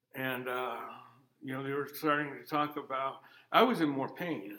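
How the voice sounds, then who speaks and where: In a normal speaking voice, the speaker keeps a fairly even intonation at a moderate pace. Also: man. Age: 50s. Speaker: farmer and military veteran. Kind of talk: interview.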